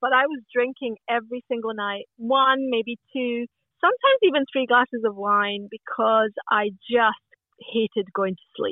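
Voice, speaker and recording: At a moderate pace, a woman speaks in a Scottish accent with a high pitch and ordinary pitch variation. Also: big swings in loudness. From Scotland. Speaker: podcast guest. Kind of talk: casual chat.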